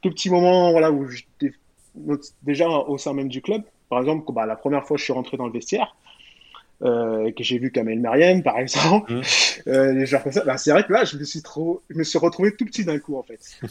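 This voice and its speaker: This man has a normal speaking voice, pitched fairly high, and talks at a moderate pace. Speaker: former professional footballer. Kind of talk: podcast interview.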